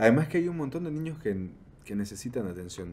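Light background noise can be heard while a man talks. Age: 30s. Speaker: podcast host. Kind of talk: casual interview. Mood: relaxed, curious. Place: studio. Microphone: studio mic.

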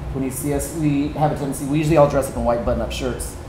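Over clear background noise, a man talks at a very fast pace at a medium pitch, his intonation fairly even.

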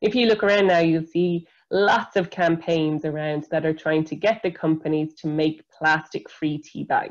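With an Irish accent, a woman speaks at a moderate pace and a fairly low pitch, with hardly any pauses. Her intonation is fairly even, and the background is quiet. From Ireland. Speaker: environmental scientist; presenter. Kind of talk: educational webinar talk for school pupils. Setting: video call webinar. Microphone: video call.

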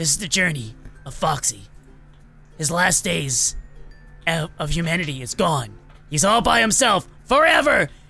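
A put-on character voice speaks at a middle pitch with long, frequent pauses. Faint music plays in the background. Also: moderate pace. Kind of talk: game roleplay character voice. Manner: panicky, dramatic.

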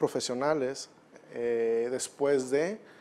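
Ordinary pitch variation in a man's speech. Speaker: guest. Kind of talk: interview answer. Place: studio. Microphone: lapel.

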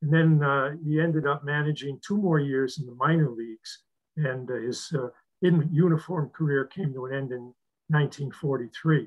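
A man with a fairly high pitch and a somewhat breathy sound talks at a moderate speed, his pitch varying in an ordinary way. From New England (Western Massachusetts). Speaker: retired professor and author. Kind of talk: book talk with Q&A. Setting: video call.

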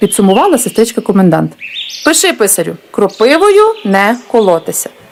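This is a natural reading voice. It reads naturally throughout.

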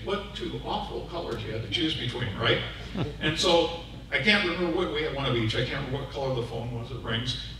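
A man with an American accent talks very fast, with audible room echo and noticeable background noise. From Seattle. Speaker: public address announcer. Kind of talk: speech at a prayer breakfast. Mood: humorous storytelling. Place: hall.

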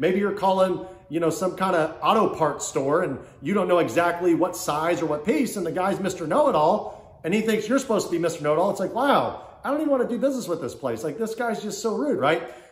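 The man talks at a very fast pace with hardly any pauses. The room gives off audible echo. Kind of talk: casual advice vlog. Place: home room. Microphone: phone near.

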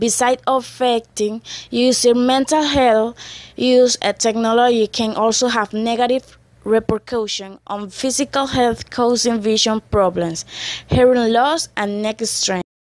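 Here a woman speaks with a non-native accent. Her pitch is fairly high, and her pace is fairly slow. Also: dry, close sound with no echo. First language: not English. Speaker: EFL student. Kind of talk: scripted class presentation reading.

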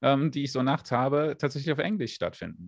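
A man speaks in a dry, echo-free sound against a quiet background. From Germany. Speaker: space YouTuber. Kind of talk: interview. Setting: livestream. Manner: hesitant, many fillers. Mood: relaxed, friendly, smiling. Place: home room. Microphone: studio mic.

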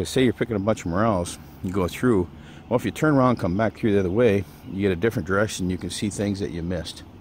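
A man's very deep, low voice shows ordinary pitch variation, with a dry sound with no echo and light background noise. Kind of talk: casual outdoor tutorial. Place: forest. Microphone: phone near.

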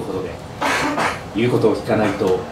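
Noticeable background noise surrounds a man as he talks. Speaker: former radio announcer. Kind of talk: live book reading at an event, reading an abuse memoir aloud. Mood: grave, somber. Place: bar.

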